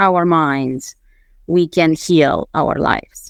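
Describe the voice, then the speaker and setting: A woman speaks with a Romanian accent at a very slow pace. The sound is dry and close, with no echo. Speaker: mindset coach and former attorney. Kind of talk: interview.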